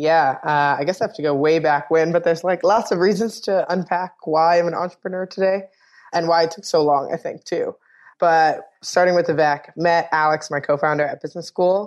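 A woman with an American accent speaks in a normal speaking voice at a fairly low pitch and a fairly quick pace over a quiet background. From New York City (the Bronx). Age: 30s. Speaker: beverage company co-founder. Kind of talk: interview.

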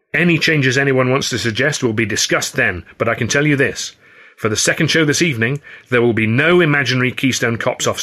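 The passage is plain reading aloud. Pitch variation is ordinary.

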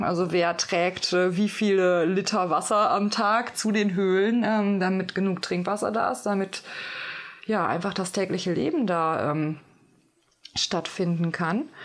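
A woman speaks at a fairly slow pace with very even loudness. Her pitch sits in the medium range, with ordinary variation. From Germany. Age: 30s. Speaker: medicine woman and sound healer. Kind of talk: interview, casual chat. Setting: inside a cave. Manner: hesitant, many fillers.

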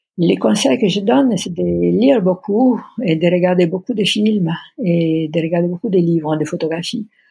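Speaking with an Italian accent at a moderate pace, a woman has a fairly low pitch, a dark, mellow, somewhat breathy tone and lively intonation. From Italy, Pisa. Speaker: art director and exhibition curator. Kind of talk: interview about career. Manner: halting, hesitant with many fillers.

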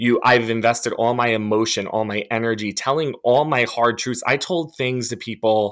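A man speaks in an unremarkable speaking voice with an American accent, at medium pitch, a moderate pace and fairly even intonation. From New Jersey. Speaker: church abuse survivor. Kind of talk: testimony.

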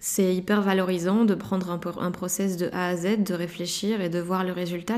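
A woman's mid-pitched voice keeps fairly level intonation as she goes at a moderate speed. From Belgium, Liège province. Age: 20s. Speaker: interviewee. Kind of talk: personal testimony. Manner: halting, many repetitions and fillers.

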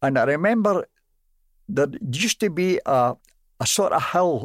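Speaking in a Glaswegian accent, a man uses lively intonation in a dry, close sound with no echo. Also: very clean recording, silent background. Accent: Glaswegian Scottish. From Glasgow, Scotland. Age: 90s. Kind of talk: casual interview recounting memories.

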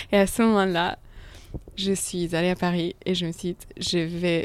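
A woman speaks at a fairly low pitch and a moderate pace. Her intonation is monotone and flat. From international upbringing, Italian family. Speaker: painter. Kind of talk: interview. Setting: artist studio. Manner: hesitant.

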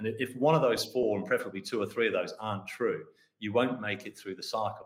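The pace here is fairly quick. It belongs to a man with an Australian accent. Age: 60s. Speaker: mining company founder and managing director. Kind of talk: interview. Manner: hesitant with many fillers.

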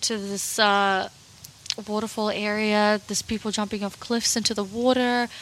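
At a moderate pace, a woman talks with fairly high pitch and monotone, flat intonation. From Russia. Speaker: podcast co-host. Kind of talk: casual chat.

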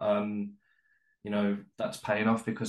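A man speaks with a Birmingham accent. His intonation is monotone and flat. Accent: Birmingham (Brummie). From West Midlands, Birmingham. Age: 30s. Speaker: travel writer. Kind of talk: casual chat. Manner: halting, many fillers.

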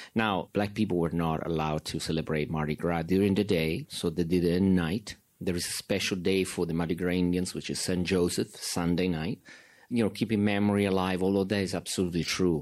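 Very deep and low, a man's voice moves at a fairly quick pace with an Italian accent and fairly even intonation. The recording is very clean, with a silent background. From Italy. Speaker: documentary filmmaker. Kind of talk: filmmaker Q and A.

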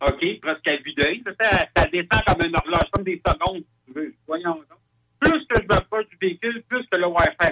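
A man speaks in a raised, projected voice at a high pitch with lively intonation. The sound is dry and close, with no echo. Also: moderate pace. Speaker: UFO witness. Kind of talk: testimony. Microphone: crackly, too loud.

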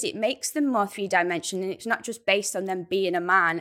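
A woman with a Lancashire accent speaks in a bright, sharp tone. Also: very clean recording, silent background. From Rossendale, Lancashire. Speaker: actor and theatre maker. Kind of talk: panel discussion.

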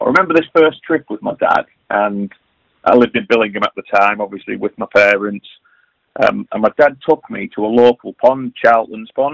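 Speaking at a fairly quick pace, a man is heard in a dry, close sound with no echo. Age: young. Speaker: competitive match angler. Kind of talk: interview. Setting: remote call.

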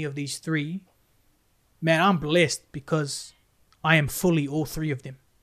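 A man with a New Zealand accent at a moderate pace. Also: very clean recording, silent background. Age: 30s. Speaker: youth worker and musician. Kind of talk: podcast interview, personal story.

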